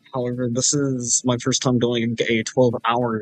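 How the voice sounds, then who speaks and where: A man's medium-pitched voice at a very slow pace, dry and close with no echo, with music in the background. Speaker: gaming streamer. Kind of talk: live stream gameplay commentary. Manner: quiet, keeping voice down; hesitant, many fillers.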